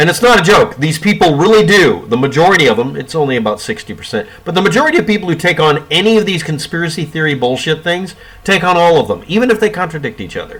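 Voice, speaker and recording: Over noticeable background noise, a man talks at a very fast pace. His pitch is high and his intonation lively. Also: hardly any pauses. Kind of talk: casual talk to camera. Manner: sarcastic.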